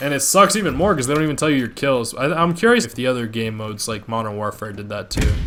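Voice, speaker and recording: Over noticeable background noise, a man talks at a very fast pace with lively intonation and a medium pitch. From Colombian heritage. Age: 20s. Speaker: gaming YouTuber. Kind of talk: gameplay commentary, casual.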